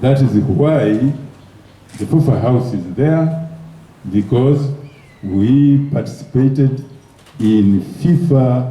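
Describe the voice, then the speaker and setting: This man's voice sits at a medium pitch with ordinary pitch variation, moving at a very slow pace with long, frequent pauses. Noticeable background noise runs behind him. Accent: Ugandan. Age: 70s. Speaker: former football federation president. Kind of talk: award speech.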